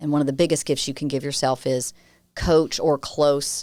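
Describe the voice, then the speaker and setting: In a very clean recording with a silent background, a woman with a Southern US accent speaks at a very deep, low pitch, moderately paced and monotone. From US South, Nashville, Tennessee. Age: 40s. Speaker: communications firm founder, crisis communication expert. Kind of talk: podcast interview.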